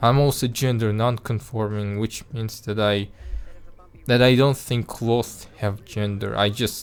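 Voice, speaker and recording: With music in the background, a man with a non-native accent speaks at a fairly slow pace in a monotone, flat intonation. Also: medium pitch for a man. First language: not English. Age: 20s. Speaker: animation vlogger. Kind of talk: casual vlog monologue. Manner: halting, many restarts and repeated words; spontaneous, unscripted.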